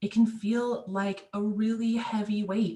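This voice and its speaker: Her intonation stays fairly even at a medium pitch. The woman's voice is somewhat breathy. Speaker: licensed clinical social worker and presenter. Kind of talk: webinar presentation. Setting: video call.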